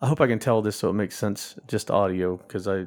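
This man has an unremarkable speaking voice, fairly low in pitch, and talks at a fairly quick pace. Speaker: regular podcast panelist. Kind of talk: casual chat.

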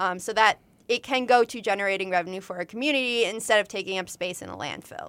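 The recording has a dry, close sound with no echo as a woman at medium pitch talks at a very fast pace with ordinary pitch variation. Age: 20s. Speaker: student podcast host. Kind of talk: interview. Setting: studio.

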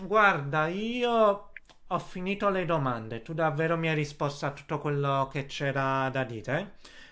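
Lively intonation marks this man's fairly high, bright, sharp voice as he talks at a fairly slow pace. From Naples, Italy. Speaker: podcast host. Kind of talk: interview. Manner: halting.

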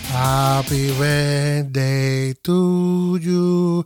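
A man speaks in an animated tone. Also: dry, close sound with no echo. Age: 40s. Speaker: radio host. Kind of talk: casual chat.

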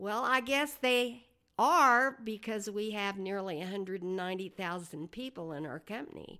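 A woman with an American accent and lively intonation, on a very clean recording with a silent background. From Oklahoma, rural farm. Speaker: business executive. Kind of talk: interview.

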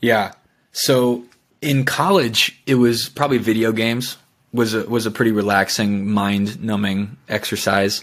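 A plain, everyday voice from a man with an American accent, medium in pitch, at a fairly slow pace. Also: ordinary pitch variation, very clean recording, silent background. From Minnesota, US. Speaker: startup founder. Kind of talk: casual interview chat.

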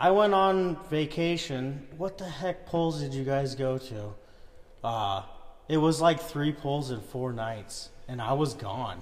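Speaking at a fairly slow pace, a man with a fairly high voice uses lively intonation over noticeable background noise. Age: 30s. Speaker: tractor puller. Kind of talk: casual chat.

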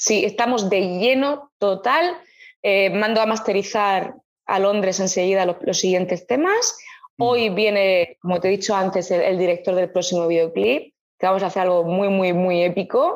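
The woman's voice sits at a medium pitch with ordinary pitch variation. She keeps a moderate pace and very even loudness. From Murcia, Spain. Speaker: jazz and soul singer. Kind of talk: interview.

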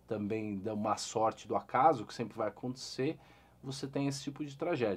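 A man talks at a moderate pace in a plain, everyday voice with ordinary pitch variation. The recording is very clean, with a silent background. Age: 40s. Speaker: investor and financial educator. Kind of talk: interview.

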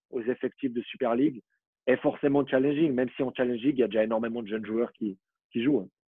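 A man has an ordinary speaking voice at a medium pitch. He talks at a fairly quick pace with ordinary pitch variation. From Switzerland, Vaud (Vallorbe). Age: 20s. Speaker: former professional footballer. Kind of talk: interview.

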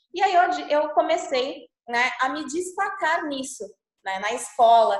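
A woman's voice with lively intonation. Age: 30s. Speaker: productivity coach. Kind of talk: online workshop presentation. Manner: animated.

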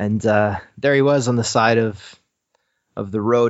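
A man with a Canadian accent speaks fairly slowly in a plain, everyday voice. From Canada. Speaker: musician in indie rock band. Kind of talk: casual interview.

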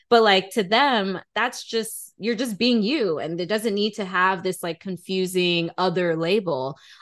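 An ordinary speaking voice from a woman, medium in pitch, with ordinary pitch variation, a fairly slow pace, hardly any pauses and a quiet background. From US, Atlanta, Georgia. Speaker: podcast host. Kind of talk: interview.

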